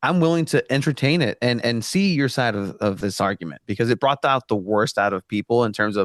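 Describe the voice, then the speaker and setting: A man with a Spanish accent talks fairly quickly with lively intonation, in a dry, close sound with no echo and a quiet background. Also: medium pitch for a man. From Mexico (Tijuana). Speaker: soccer journalist. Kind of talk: casual podcast interview.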